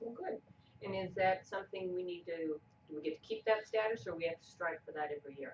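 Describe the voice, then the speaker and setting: The pitch moves in an ordinary way while the words come out very fast. The loudness swings widely from moment to moment. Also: woman, medium pitch for a woman. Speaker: meeting chair at a speaking club. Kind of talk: club meeting chairing.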